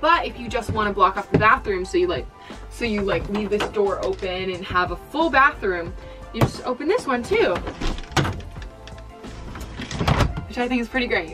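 Over clear background music, a woman talks at a moderate pace with long, frequent pauses. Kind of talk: casual vlog chat. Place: home room. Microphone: camera far.

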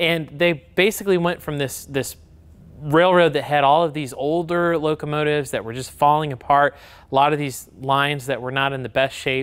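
A man's fairly high voice in an American accent at a moderate pace. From US Midwest, south central Michigan. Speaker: model train company presenter. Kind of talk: product video presentation. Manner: enthusiastic.

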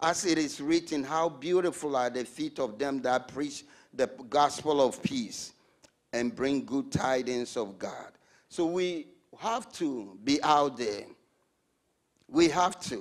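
Against a quiet background, a man speaks at a very slow pace. His pauses are long and frequent. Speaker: preacher. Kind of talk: sermon. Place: church. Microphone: handheld.

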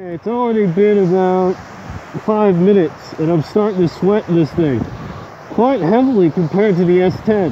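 The sound is dry with no echo and carries light background noise. A man speaks at a moderate pace in a high voice with ordinary pitch variation. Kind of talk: casual vlog commentary. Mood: hot, sweating, slightly strained. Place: beach. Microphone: earbuds.

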